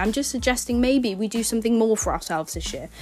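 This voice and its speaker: Music sits in the background as a woman with an English accent talks very fast in a fairly high voice. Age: 20s. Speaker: podcast host. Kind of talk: casual chat.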